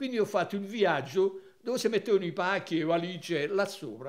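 The background is silent and the recording very clean. In it, a man speaks at a fairly quick pace. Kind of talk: casual reminiscing chat. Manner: warm, conversational, nostalgic.

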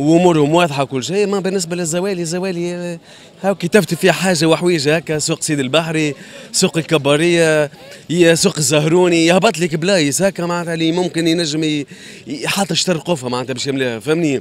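Fairly even intonation from a man with a high pitch, dry sound with no echo, and light background noise. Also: moderate pace. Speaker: interviewee. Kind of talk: interview answer. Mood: critical, complaining about prices. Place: market. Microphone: handheld.

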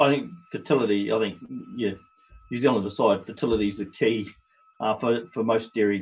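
Speaking at a moderate pace, the man has a fairly low voice. His pitch sits on the low side throughout. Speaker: company general manager. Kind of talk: webinar presentation. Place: home room. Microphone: webcam.

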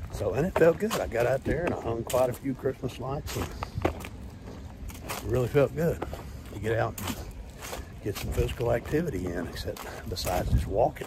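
Noticeable background noise runs behind a man speaking at a moderate pace, the sound dry with no echo. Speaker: fitness vlogger. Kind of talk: casual vlog chat. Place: street. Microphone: earbuds.

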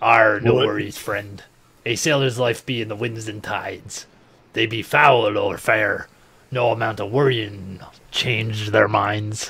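Doing a raspy put-on character voice, a man speaks at a medium pitch, fairly slowly, with fairly even intonation. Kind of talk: pirate voice. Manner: hearty, folksy.

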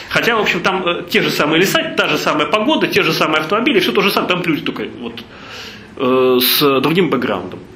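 Amid light background noise and audible room echo, a man with a high pitch talks at a moderate pace. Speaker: charity foundation head; speaker. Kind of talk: lecture. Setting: stage with audience. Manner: halting, many filler sounds. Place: hall.

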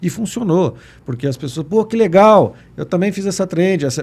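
With a dark, mellow tone, a man speaks at a fairly quick pace using lively intonation. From western Paraná, Brazil. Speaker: municipal communications secretary; guest. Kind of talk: casual chat. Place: studio. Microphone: studio mic.

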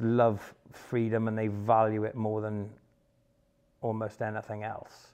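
Against a quiet background, a man with a Welsh accent speaks slowly-ish, fairly slow in pace, in a monotone, flat intonation. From Wales, Pembrokeshire; Wales. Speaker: former soldier and bodyguard; interviewee. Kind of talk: personal testimony monologue; interview answer. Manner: halting, many fillers. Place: home room. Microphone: lapel.

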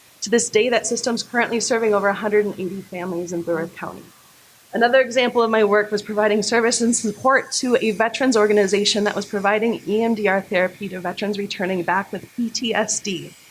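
A woman's fairly high, very fast voice with fairly even intonation against noticeable background noise. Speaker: political candidate. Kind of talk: candidate forum speech. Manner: loud.

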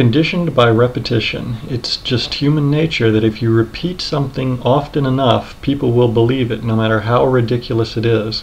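A man speaks at a moderate pace with hardly any pauses and fairly even intonation. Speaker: commentary video creator. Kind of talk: commentary narration to camera. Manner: monotone. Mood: earnest, serious. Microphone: webcam.

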